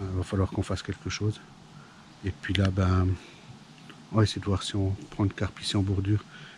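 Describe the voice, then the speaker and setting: Somewhat breathy and dark, mellow in tone, a man with a fairly low pitch talks at a fairly quick pace in a monotone, flat intonation. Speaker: fishing youtuber. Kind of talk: outdoor vlog commentary. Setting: outdoors by a pond. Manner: hesitant, many fillers.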